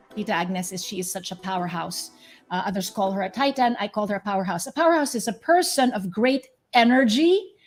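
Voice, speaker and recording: A woman speaks fairly quickly at a fairly high pitch, her tone animated and her intonation lively. Music plays in the background. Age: 50s. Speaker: podcast host. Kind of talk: interview.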